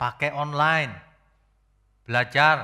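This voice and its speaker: A bright, sharp tone carries the voice. The background is silent in a very clean recording. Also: man. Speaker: pastor. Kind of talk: sermon.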